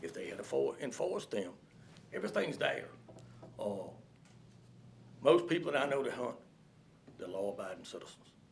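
With a Virginia accent, a man talks at a fairly quick pace with long, frequent pauses and big swings in loudness, and audible room echo. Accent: Southern US, rural Virginia. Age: 60s. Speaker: public commenter, hunter. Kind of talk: public comment at county board meeting. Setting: county board meeting room.

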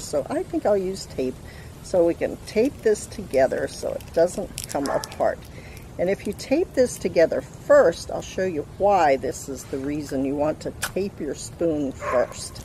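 A woman speaks at a fairly slow pace. The sound is dry with no echo, with light background noise. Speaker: craft instructor for children. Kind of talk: tutorial. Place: garden. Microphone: camera far.

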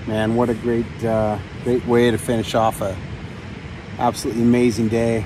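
At a moderate pace, the voice stays monotone and flat, with a dry sound, no echo and noticeable background noise. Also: man. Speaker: pilot vlogger. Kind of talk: casual vlog chat. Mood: relaxed, content. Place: open country. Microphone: phone near.

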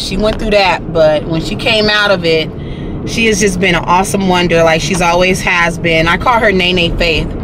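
A woman talks at a moderate pace with fairly even intonation. The sound is dry with no echo, and background noise is noticeable. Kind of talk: casual vlog chat. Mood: proud, warm. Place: car. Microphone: phone near.

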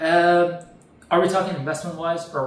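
A fairly high-pitched man speaks with audible room echo around him. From Canada. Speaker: real estate rental expert. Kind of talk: interview. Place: home room.

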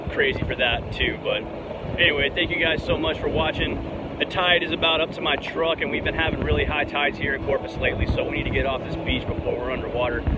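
Loud background noise sits under a man speaking at a very fast pace. The sound itself is dry, with no echo. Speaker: fishing vlogger. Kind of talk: casual vlog chat. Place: beach. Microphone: phone near.

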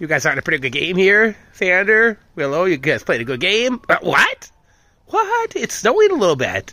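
At a moderate pace, a man projects a raised, high-pitched voice with a bright, sharp tone and very wide pitch swings. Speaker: vlogger, dog owner. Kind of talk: casual monologue to dogs. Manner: self-talk, rambling.

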